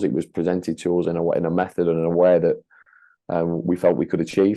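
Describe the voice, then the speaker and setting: Speaking fairly quickly with a northern English accent, a man keeps a monotone, flat intonation at a very deep, low pitch. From northern England, Leigh near Wigan. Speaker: franchise owner and leadership consultant. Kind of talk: podcast interview. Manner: hesitant, many fillers and repetitions.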